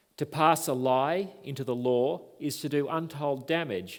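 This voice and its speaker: Here is a man with an Australian accent. He speaks at a medium pitch. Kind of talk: lecture. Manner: formal.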